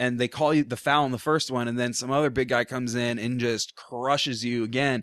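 At a moderate pace, a man with an American accent talks in an unremarkable speaking voice at a medium pitch with ordinary pitch variation, in a dry, close sound with no echo. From Portland, Oregon. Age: 20s. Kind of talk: casual chat. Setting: studio.

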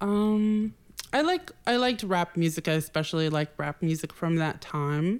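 A woman with an American accent and a plain, everyday voice, fairly low-pitched, at a moderate pace with lively intonation and very even loudness. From Boston, Massachusetts. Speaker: stylist. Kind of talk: casual chat.

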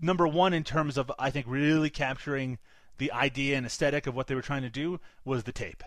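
Speaking at a moderate pace with a Canadian accent, this is an unremarkable speaking voice. The intonation is fairly even, and the background is quiet. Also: man. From Canada. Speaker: film podcast co-host. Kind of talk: casual chat.

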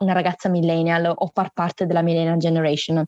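A woman talks at a fairly quick pace, the sound dry and close with no echo. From Salento, southern Italy. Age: 20s. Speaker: student and interviewer. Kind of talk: casual interview chat. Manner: animated, outgoing.

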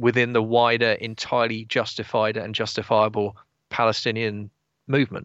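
Monotone and flat in intonation, a man with an English accent speaks at a medium pitch and a moderate pace. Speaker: political commentator. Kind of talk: casual chat.

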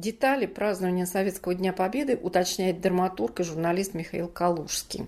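An ordinary speaking voice, moderate pace, hardly any pauses and ordinary pitch variation. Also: woman, medium pitch for a woman. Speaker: podcast host. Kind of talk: scripted narration and hosting.

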